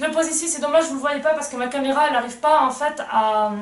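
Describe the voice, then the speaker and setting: A woman's high-pitched voice comes with audible room echo. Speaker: equestrian vlogger. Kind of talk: unboxing video. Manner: halting.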